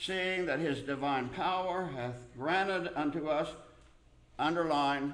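Amid audible room echo, a man talks slowly with a fairly high pitch and a fairly bright tone. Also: ordinary pitch variation.

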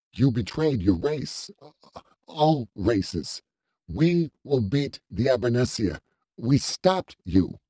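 Someone puts on a character voice, speaking at a fairly slow pace with long, frequent pauses. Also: man, medium pitch for a man.

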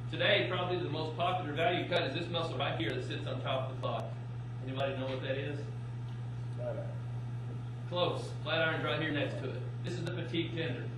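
A fairly quick delivery amid audible room echo and noticeable background noise. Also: man. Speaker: meat science instructor. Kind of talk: lecture. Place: classroom. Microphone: camera far.

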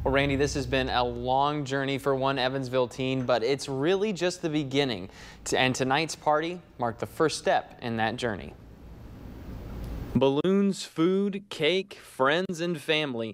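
Over light background noise, a man talks at a fairly slow pace with ordinary pitch variation. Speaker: TV news reporter. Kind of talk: TV news report. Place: studio.

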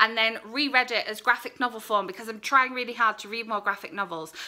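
Someone talks at a very fast pace in a British accent. The background is quiet. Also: woman. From UK. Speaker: book vlogger; book reviewer. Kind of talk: casual vlog review. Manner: rambling, hesitant. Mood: earnest, thoughtful. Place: home room. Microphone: phone near.

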